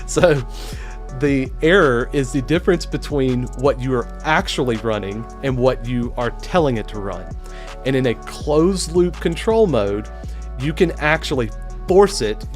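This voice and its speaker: A man with a Southern US accent at a fairly slow pace, music in the background. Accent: Southern US drawl. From Alabama, US.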